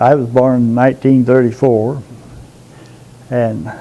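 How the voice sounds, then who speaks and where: A man's voice against noticeable background noise. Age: 70s. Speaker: pastor of a small rural church. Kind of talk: interview testimony. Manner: halting.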